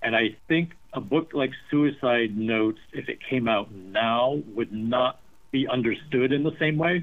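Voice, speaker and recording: A fairly slow pace and ordinary pitch variation in an ordinary speaking voice. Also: man, medium pitch for a man. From US, rural small town. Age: 50s. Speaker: novelist. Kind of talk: interview.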